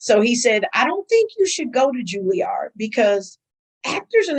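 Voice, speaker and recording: A woman speaks with an American accent in an animated tone at a moderate pace. Her high voice moves through very wide pitch swings. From US Midwest, Milwaukee. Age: 50s. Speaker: school administrator and actress. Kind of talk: interview.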